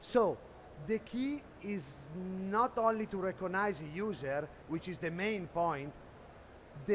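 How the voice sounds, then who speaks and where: A man with an Italian accent speaks at a fairly slow pace. His pitch is high, with ordinary pitch variation. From Italy. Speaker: sales executive presenting at a trade expo. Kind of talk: conference presentation. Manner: halting, many fillers.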